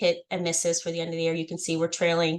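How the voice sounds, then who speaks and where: A woman speaks over a quiet background. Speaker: foundation fundraising staff leading a committee meeting. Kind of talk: work meeting presentation. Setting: video call. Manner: fast.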